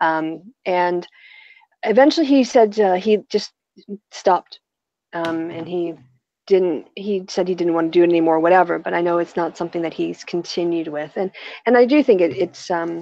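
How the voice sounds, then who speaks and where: A woman's normal speaking voice with an American accent, fairly low in pitch, with ordinary pitch variation and a moderate pace. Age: 40s. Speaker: YouTuber. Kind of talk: casual chat.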